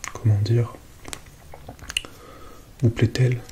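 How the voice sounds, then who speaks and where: A man speaks softly at a fairly slow pace in a calm, gentle tone, his medium-pitched voice monotone and flat over noticeable background noise. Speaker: ASMR content creator. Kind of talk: ASMR roleplay as a space-agency psychologist speaking to a patient. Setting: close-mic ASMR recording, relaxation. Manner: soft-spoken, calm, gentle.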